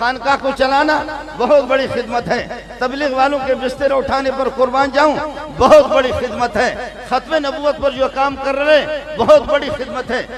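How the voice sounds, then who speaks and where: A man speaks in a passionate tone at an extremely high pitch, yet his intonation stays flat and monotone. Noticeable background noise is present. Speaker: Islamic scholar and madrasa teacher. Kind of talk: public religious speech at a conference rally. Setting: large crowd, stage with PA system. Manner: passionate, exhortative, oratorical.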